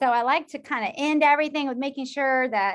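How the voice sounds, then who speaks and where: Against a quiet background, a woman with a high voice talks at a moderate pace. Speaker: social work professor. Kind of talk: lecture.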